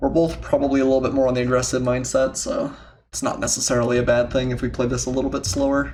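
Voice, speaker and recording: The man talks at a very fast pace. Audible room echo surrounds his voice. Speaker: gaming commentator. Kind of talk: live gameplay commentary. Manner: slight stutter, excited.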